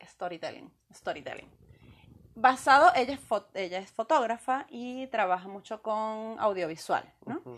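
This is an ordinary speaking voice from a woman, fairly high pitched with lively intonation. She talks at a fairly slow pace against a quiet background. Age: under 58. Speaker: podcast co-host. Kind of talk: casual chat.

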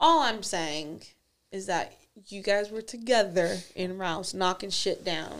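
The loudness swings a lot. The pace is very slow. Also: woman, medium pitch for a woman, ordinary pitch variation. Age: 20s. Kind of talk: casual chat. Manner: energetic.

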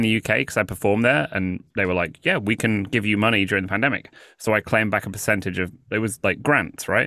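Over a very clean recording with a silent background, a man speaks at a fairly quick pace in a bright, sharp tone, fairly low in pitch with ordinary variation and very even loudness. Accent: British. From England. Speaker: comedian and freestyle rapper. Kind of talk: casual chat.

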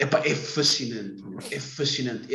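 A man speaks with a European Portuguese accent and lively intonation. Music plays in the background. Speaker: podcast host. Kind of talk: casual chat. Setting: wearing a mask.

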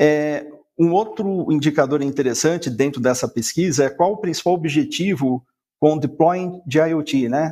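Fairly slow speech carries a dark, mellow tone. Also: man, fairly high pitch for a man, ordinary pitch variation, very even loudness. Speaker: sales director. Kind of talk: business presentation.

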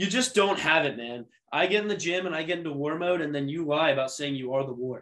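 Very fast delivery with lively intonation. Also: man, fairly high pitch for a man. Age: 20s. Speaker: sports podcast co-host. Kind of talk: casual chat.

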